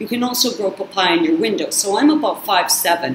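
A woman speaks at a moderate pace with lively intonation. Light background noise and audible room echo are present. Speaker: YouTube channel host on narcissistic abuse recovery. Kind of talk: casual vlog monologue. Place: kitchen. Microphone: webcam.

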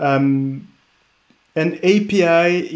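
A man with a French accent and a high pitch, against a quiet background. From France. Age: 30s. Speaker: tech startup co-founder; presenter. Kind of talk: conference interview and product demo; conference presentation. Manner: hesitant, many fillers. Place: home room. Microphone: webcam.

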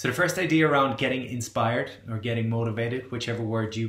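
Audible room echo surrounds a man's voice. He talks at a very fast pace with ordinary pitch variation. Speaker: wellbeing coach. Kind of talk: motivational talk to camera. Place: home room. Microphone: webcam.

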